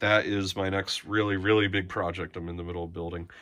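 A man's fairly low voice with a bright, sharp tone. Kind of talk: casual tour commentary. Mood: relaxed, enthusiastic, some laughs. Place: home room. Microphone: phone near.

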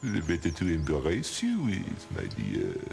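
A man puts on a character voice at a fairly slow pace. Background noise is clearly audible.

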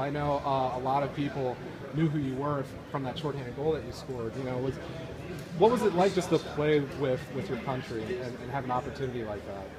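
Words pour out very fast against loud noise in the background. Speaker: sports blogger interviewer. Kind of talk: interview. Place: hall. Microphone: phone near.

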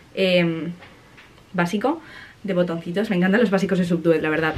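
Very fast talk from a woman, with ordinary variation in pitch. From Spain. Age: 20s. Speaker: vlogger and university student; vlogger. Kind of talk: casual vlog talk to camera. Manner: animated. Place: home room. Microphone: phone near.

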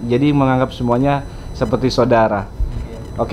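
Faint music plays behind a man whose fairly high voice keeps a fairly even intonation. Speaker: vlogger. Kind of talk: vlog interview. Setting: student apartment. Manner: hesitant with fillers. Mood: friendly, joking. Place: home room.

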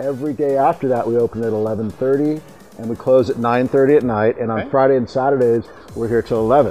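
Against faint music in the background, the speaker moves at a fairly quick pace with fairly even intonation. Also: man. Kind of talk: interview answer. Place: garden.

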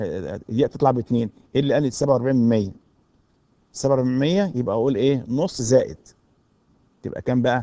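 Speaking at a fairly slow pace, a man with an Egyptian accent keeps a medium pitch with ordinary pitch variation. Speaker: university lecturer. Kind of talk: recorded lecture.

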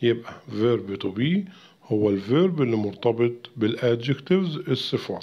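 Speaking at a fairly slow pace, a man uses lively intonation at medium pitch. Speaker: English teacher. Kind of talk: tutorial. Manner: repeats words slowly for pronunciation practice.

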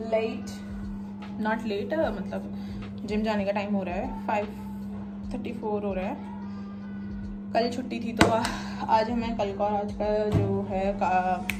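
Over music in the background, a woman talks at a fairly slow pace. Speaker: daily vlogger. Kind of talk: casual vlog chat. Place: home room. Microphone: phone near.

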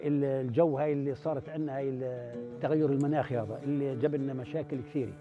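Clear music plays behind a man with a Palestinian accent, speaking at a fairly high pitch and a moderate pace with hardly any pauses. His intonation is monotone and flat, and the sound is dry with no echo. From Palestine, West Bank. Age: 70s. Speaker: olive farmer. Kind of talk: interview answer. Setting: outdoors. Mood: calm, content. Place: open country.

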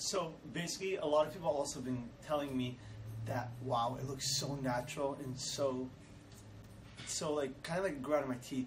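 Moving at a moderate pace, a man at medium pitch shows ordinary pitch variation amid audible room echo.

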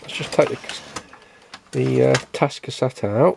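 The voice has vocal fry, a slightly mellow tone and a slightly husky edge. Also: man.

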